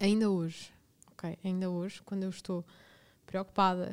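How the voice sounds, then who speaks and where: A woman's medium-pitched voice, monotone and flat in intonation, at a moderate pace. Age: 20s. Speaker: podcast host. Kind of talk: personal storytelling monologue. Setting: studio.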